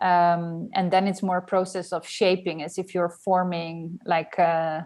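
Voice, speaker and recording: In a Dutch accent, a woman speaks at a fairly slow pace with flat, monotone intonation and a fairly low pitch, against a quiet background. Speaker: journalist and writer. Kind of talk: casual interview. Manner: hesitant, many fillers.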